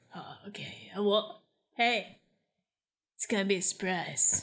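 A woman with an animated, playful tone that is bright and sharp. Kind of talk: comedic improvised radio-drama acting, bantering. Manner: animated, flustered, playful.

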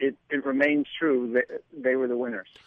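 A man speaks at a moderate pace. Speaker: political commentator and writer. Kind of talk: radio interview. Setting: phone line.

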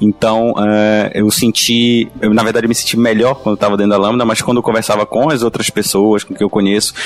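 A man with a Pará accent talks at a fairly quick pace, with hardly any pauses, in a fairly low voice. His intonation is monotone and flat, with music in the background. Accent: Northern Brazilian (Pará). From Belém, Pará, Brazil. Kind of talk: casual panel discussion.

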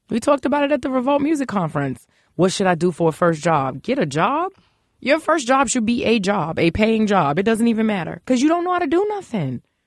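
Very fast and very even in loudness, a woman with a New York accent speaks in a fairly high voice with very wide pitch swings. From Brooklyn, New York (East New York). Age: 40s. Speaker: business executive. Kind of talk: casual interview.

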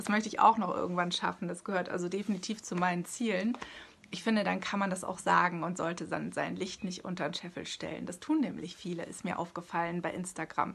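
Her voice sits fairly low for a woman. She talks at a fairly quick pace. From Hesse, Germany. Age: 40s. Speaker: artist and author. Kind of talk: interview. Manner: animated.

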